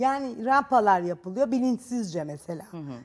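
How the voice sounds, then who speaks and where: A woman speaks with lively intonation over a quiet background. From Turkey. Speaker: talk show guest. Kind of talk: TV talk show interview. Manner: halting, with fillers. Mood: calm, reflective. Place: studio. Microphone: lapel.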